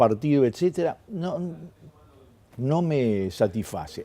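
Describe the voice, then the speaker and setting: A man with a dark, mellow tone and a fairly high pitch, with a Uruguayan accent, a fairly slow pace and very wide pitch swings. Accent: Uruguayan Rioplatense Spanish. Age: 60s. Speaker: publicist and journalist, former political activist. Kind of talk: interview. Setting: newspaper newsroom.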